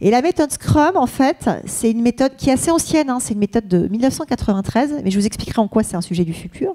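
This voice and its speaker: Over noticeable background noise, a woman talks very fast at a high pitch with very wide pitch swings, the sound dry and close with no echo. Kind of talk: conference talk.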